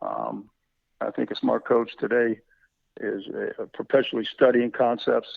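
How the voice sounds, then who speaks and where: Moderate pace from a male speaker. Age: 60s. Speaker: football coach. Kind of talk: interview. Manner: halting, many fillers.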